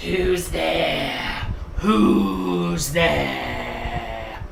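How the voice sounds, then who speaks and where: A raspy, growling put-on character voice. There is a slight echo and clear background noise. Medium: read story. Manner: growling, menacing.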